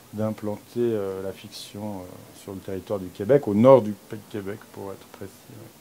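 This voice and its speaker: His pitch is fairly low. The man keeps a moderate pace. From Switzerland. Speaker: film producer. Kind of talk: interview. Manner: halting, many fillers.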